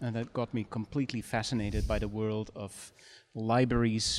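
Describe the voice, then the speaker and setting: A man speaks with a Dutch accent at medium pitch. His intonation is monotone and flat. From Netherlands. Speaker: history professor. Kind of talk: interview.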